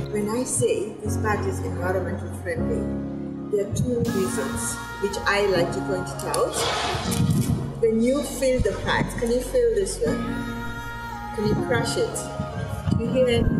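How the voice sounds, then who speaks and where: Loud music plays behind a woman who speaks at a fairly slow pace with long, frequent pauses. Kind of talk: interview answer. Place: street.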